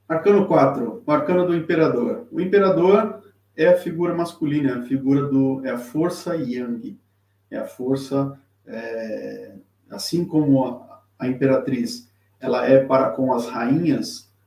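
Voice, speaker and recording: A man at a fairly high pitch, with lively intonation and a fairly slow pace. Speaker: tarot teacher and reader. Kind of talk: live-streamed tutorial. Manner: halting, many fillers and repetitions.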